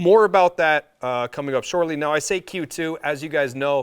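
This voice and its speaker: Ordinary pitch variation marks a man speaking at a moderate pace. The background is silent in this very clean recording. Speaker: company representative presenting product. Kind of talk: product presentation video. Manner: rambling, with fillers.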